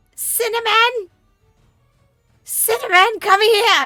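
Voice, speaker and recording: A shrill, put-on character voice with an extremely high pitch drags along at a very slow pace as faint music plays in the background. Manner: calling out urgently.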